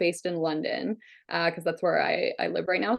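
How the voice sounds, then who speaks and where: With a Canadian accent, a woman talks at a medium pitch with vocal fry and ordinary pitch variation against a quiet background. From southwestern Ontario, Canada. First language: Hungarian. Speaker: criminal defence lawyer. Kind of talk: interview.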